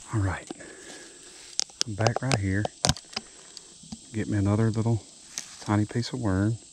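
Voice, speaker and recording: In a Southern US accent, a soft-spoken voice moves at a moderate pace with long, frequent pauses over noticeable background noise. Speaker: fishing vlogger. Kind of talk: casual vlog narration. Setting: outdoors by a roadside pond.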